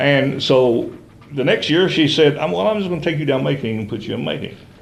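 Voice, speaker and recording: A man at a fairly quick pace with lively intonation, amid audible room echo and noticeable background noise. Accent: Appalachian. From eastern Kentucky (Letcher County). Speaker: interview guest. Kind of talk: interview, life story. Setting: TV studio. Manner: hesitant, many fillers.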